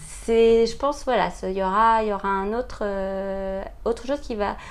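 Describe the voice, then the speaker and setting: The speaker talks at a moderate pace. Pitch rises and falls in an ordinary way. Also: woman. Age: 40s. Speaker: mother sharing experience of late parenthood. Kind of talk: interview testimony. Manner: hesitant, many fillers.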